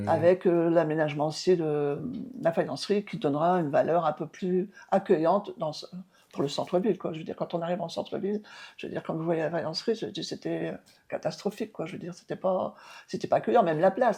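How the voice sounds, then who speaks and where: In a dark, mellow tone, a woman speaks at a fairly low pitch and fairly quick pace, with ordinary pitch variation and big swings in loudness over a quiet background. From Rousies, northern France. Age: 70s. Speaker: mayor. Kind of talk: interview answer.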